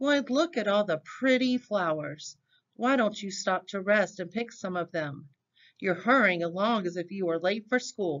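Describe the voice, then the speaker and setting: A female-sounding voice sits at middle pitch. It is a put-on character voice. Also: moderate pace. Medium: read story. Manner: sly, wheedling.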